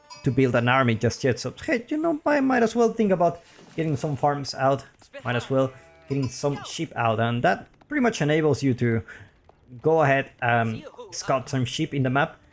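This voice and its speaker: A man's intonation is lively and his pace moderate, with noticeable background noise behind him. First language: Spanish. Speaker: video game commentator. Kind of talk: live game commentary. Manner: casual, hesitant with fillers.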